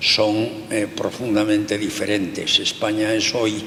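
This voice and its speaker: A man talks very slowly in a fairly low voice. Noticeable background noise runs under his speech. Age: 80s+. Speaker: sociologist. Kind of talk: interview.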